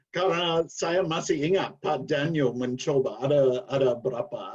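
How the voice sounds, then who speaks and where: A man with an English accent, at a very slow pace. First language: English (speaking Indonesian). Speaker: former Indonesian language student, guest. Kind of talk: casual interview chat.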